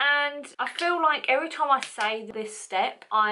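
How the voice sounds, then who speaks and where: Over noticeable background noise, a woman can be heard. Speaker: beauty vlogger. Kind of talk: makeup tutorial. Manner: stumbling over words.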